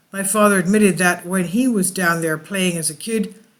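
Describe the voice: The clip is plain reading aloud.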